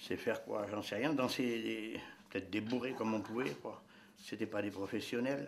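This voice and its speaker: There is noticeable background noise and audible room echo around this man. His pitch sits fairly low, with ordinary pitch variation. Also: moderate pace. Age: 70s. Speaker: traditional dancer. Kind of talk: interview. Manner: halting.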